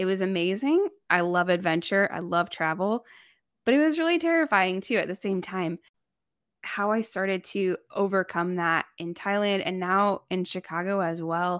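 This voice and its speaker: In a very clean recording with a silent background, a woman speaks at a moderate pace and medium pitch with ordinary pitch variation. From US Midwest, northern Indiana. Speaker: missionary and writer. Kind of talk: interview, faith testimony. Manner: casual with many fillers.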